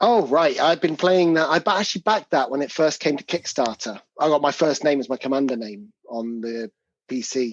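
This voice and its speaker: Over a quiet background, a man with a fairly high pitch speaks at a fairly quick pace with lively intonation in a dry, close sound with no echo. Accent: English. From England. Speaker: game designer. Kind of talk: casual chat.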